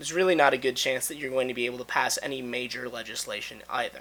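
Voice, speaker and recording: Bright, sharp tone from a male speaker, his pitch varying in an ordinary way. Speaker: political commentator. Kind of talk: casual political analysis to camera.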